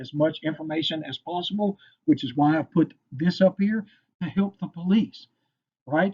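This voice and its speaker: A man talks with a Kentucky accent. His pace is moderate. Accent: Kentucky Southern US. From Western Kentucky. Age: 50s. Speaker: firearms instructor. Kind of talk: lecture. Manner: casual, filler-heavy.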